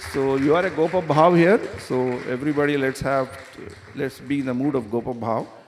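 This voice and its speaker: Noticeable background noise surrounds a man whose fairly high voice shows ordinary pitch variation. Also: fairly quick pace. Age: 60s. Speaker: visiting speaker at temple. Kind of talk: religious class.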